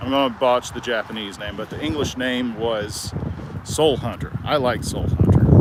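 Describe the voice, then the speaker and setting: Speaking at a moderate pace with fairly even intonation, a man at medium pitch is heard over noticeable background noise. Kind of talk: casual talk to camera while walking. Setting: outdoors. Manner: halting, with stutters and pauses.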